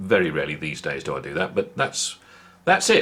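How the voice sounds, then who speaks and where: The man's speech, in a British accent, comes at a fairly quick pace. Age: 60s. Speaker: vlogger. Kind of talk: casual monologue.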